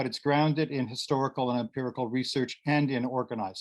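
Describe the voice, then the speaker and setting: With a Canadian accent, a man speaks at a moderate pace in an unremarkable speaking voice, keeping a medium pitch and fairly even intonation. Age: 60s. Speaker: activist and academic presenter. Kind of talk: conference presentation.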